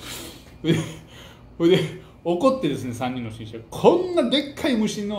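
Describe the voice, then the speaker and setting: At a fairly slow pace, a man talks with audible room echo around him. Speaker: book talk host. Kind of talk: storytelling commentary. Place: home room.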